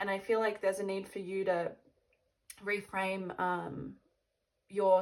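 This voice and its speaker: Very slowly, a woman talks with monotone, flat intonation. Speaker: tarot card reader. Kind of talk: tarot reading, direct address to viewers. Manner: hesitant, many fillers.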